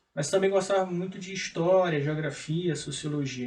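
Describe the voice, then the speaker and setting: The man's voice is high-pitched, with fairly even intonation. He keeps a moderate pace. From Maranhão, Brazil. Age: 30s. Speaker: economist and public auditor. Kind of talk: TV interview.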